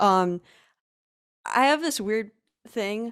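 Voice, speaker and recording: On a very clean recording with a silent background, a woman with an American accent speaks in a medium pitch. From US, Allentown, Pennsylvania. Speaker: UX designer and web developer. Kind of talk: casual interview. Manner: hesitant with many fillers.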